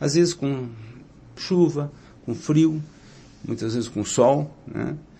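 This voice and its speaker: The speech moves at a very slow pace, somewhat breathy, with ordinary pitch variation. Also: man, fairly high pitch for a man. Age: 60s. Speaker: mayoral candidate. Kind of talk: interview. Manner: filler-heavy, frequent 'né'.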